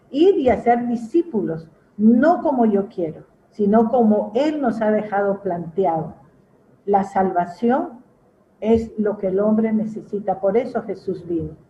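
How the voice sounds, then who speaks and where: The woman's voice is fairly high in pitch, somewhat breathy and dark and mellow in tone. She speaks at a fairly slow pace with lively intonation. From Peru. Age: 70s. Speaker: pastor. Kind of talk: testimony.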